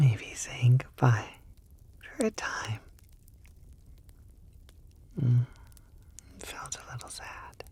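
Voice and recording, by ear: A woman whispers in a put-on character voice with a husky, rough edge, moving at a very slow pace with long, frequent pauses.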